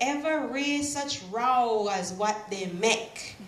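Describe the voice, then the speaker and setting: Lively intonation at a very slow pace, with noticeable background noise. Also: woman. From Belize. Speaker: writer and poet. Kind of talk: poetry reading.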